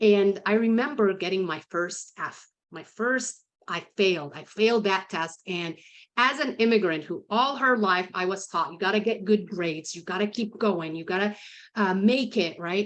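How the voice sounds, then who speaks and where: Against a quiet background, a woman with a non-native accent speaks at a medium pitch. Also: ordinary pitch variation, moderate pace, big swings in loudness. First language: not English. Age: 50s. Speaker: sales consultant and author. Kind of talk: podcast interview. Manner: conversational, with frequent repetitions.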